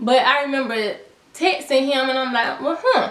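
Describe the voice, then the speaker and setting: The voice is raised and projected, moving at a moderate pace. Audible room echo and noticeable background noise surround it. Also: woman. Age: 20s. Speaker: YouTuber. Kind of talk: storytime vlog. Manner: casual, slangy.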